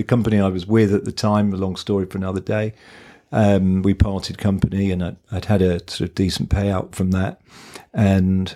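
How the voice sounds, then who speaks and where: Very deep and low, a man's voice moves at a fairly quick pace with monotone, flat intonation in a southern English accent. The recording is very clean, with a silent background. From southern England (Kent). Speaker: agency founder and investor. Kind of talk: interview. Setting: in person at office.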